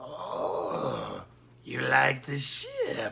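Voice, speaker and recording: A raspy, put-on character voice is heard against clear background noise. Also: man. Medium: read story. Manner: wheedling, theatrical.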